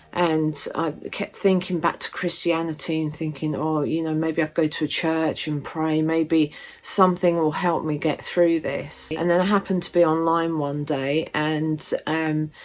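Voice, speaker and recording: A woman's very deep, low, monotone voice in a southern English accent, at a fairly slow pace with hardly any pauses. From southern England, Stevenage, Hertfordshire. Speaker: witchcraft vlogger. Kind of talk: personal story vlog. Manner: casual, many fillers.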